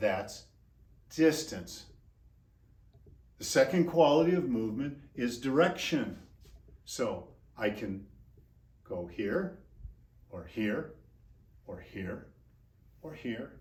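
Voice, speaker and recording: A man's medium-pitched voice with vocal fry, very wide pitch swings and big swings in loudness, at a very slow pace with long, frequent pauses, in audible room echo. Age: 60s. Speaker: exercise physiologist and movement coach. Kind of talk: instructional tutorial. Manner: energetic, informal.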